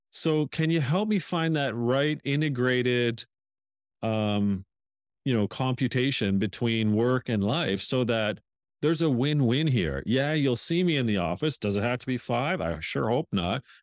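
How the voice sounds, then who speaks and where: A man's normal speaking voice, medium in pitch with lively intonation and very even loudness, at a fairly slow pace, dry and close with no echo, on a very clean recording against a silent background. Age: 50s. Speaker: author and leadership strategist. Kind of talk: interview conversation.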